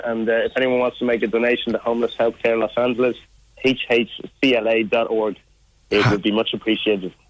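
A man with an Irish accent, medium pitch, a moderate pace and monotone, flat intonation. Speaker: charity walker. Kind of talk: interview. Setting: phone call.

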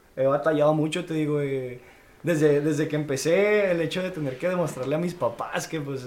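Fairly quick speech from a man with a fairly high pitch and fairly even intonation, plus audible room echo and noticeable background noise. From northern Mexico, Chihuahua city. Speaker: mixed martial arts fighter. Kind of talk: casual chat.

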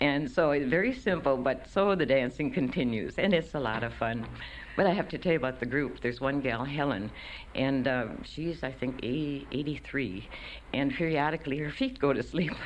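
A woman talks with a very deep, low pitch and vocal fry. Her pitch variation is ordinary. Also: moderate pace. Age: 60s. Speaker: retiree in a kitchen band. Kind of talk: interview. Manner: animated.

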